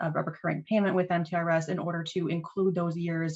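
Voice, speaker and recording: Somewhat breathy and fairly low-pitched, a woman speaks at a fairly quick pace. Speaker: retirement benefits presenter. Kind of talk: informational presentation. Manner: fast.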